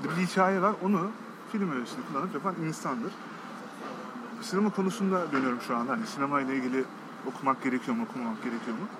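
A man's high voice with very wide pitch swings at a very fast pace, broken by long, frequent pauses, over noticeable background noise. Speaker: commercial film director. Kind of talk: casual interview. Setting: cafe.

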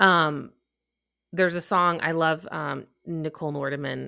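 A woman with a Midwestern US accent, very deep and low in pitch, bright and sharp in tone, at a moderate pace with fairly even intonation, on a very clean recording with a silent background. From US Midwest; Chicago. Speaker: podcast host and coach. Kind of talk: solo podcast monologue. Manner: casual, chatty.

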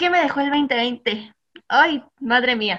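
Her pitch is high and her tone bright and sharp. This woman speaks at a fairly slow pace with lively intonation. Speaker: mom influencer. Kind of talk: casual chat. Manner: loud.

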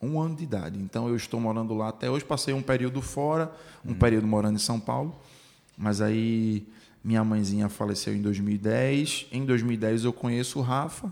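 A man talks at a moderate pace in a normal speaking voice. His pitch sits in the medium range with ordinary variation. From Recife, Brazil. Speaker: podcast host. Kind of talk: casual interview chat.

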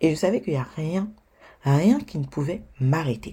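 A woman speaks at a fairly slow pace in a somewhat breathy voice with a dark, mellow tone. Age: 20s. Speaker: podcast host and blogger. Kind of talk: solo podcast monologue.

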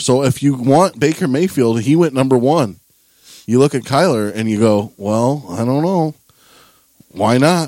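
A man with an American accent, medium-pitched, with lively intonation, a dark, mellow tone and a moderate pace. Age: 20s. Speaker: sports podcast host. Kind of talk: casual chat.

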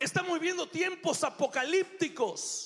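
His voice is raised and projected at an extremely high pitch for a man. The pace is fairly slow. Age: 40s. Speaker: pastor. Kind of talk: sermon.

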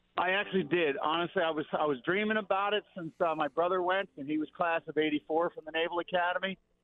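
A man with an American accent and a high pitch, talking at a very fast pace. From South Jersey. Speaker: former college football player. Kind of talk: casual chat. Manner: animated.

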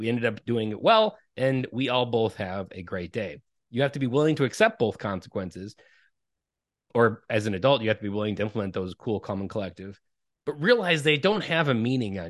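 Against a quiet background, a man with a plain, everyday voice talks at a fairly quick pace and a medium pitch, with lively intonation and big swings in loudness. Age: 30s. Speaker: parenting coach. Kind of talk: casual interview conversation.

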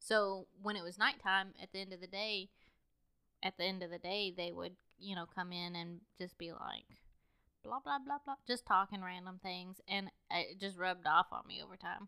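A woman's medium-pitched voice, an ordinary speaking voice, at a moderate pace with ordinary pitch variation. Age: 20s. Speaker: podcast co-host. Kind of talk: casual chat.

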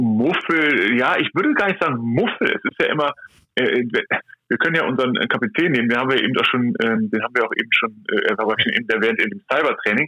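A man's medium pitch with very wide pitch swings, a fairly quick pace and very even loudness. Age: 30s. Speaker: athletic trainer. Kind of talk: interview. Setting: phone call.

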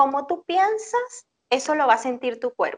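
A woman's high-pitched voice, fairly slow and with lively intonation, in a dry, close sound with no echo. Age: 40s. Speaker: psychologist. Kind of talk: interview.

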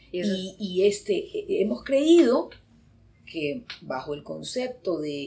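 A woman's medium-pitched, somewhat breathy voice, dark and mellow in tone, with very wide pitch swings. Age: 60s. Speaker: psychologist. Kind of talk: casual chat.

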